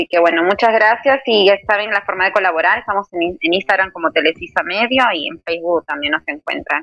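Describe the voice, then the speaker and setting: At a medium pitch, a woman speaks in a bright, sharp tone with lively intonation at a fairly quick pace and hardly any pauses. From Peru. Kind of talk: interview.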